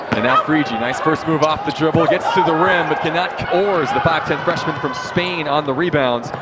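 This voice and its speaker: A man's fairly high voice with ordinary pitch variation and hardly any pauses, set against noticeable background noise. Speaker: sports play-by-play announcer. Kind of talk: live basketball play-by-play commentary. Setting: broadcast booth at a women's college basketball game. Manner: rapid-fire, clipped, energetic play-calling.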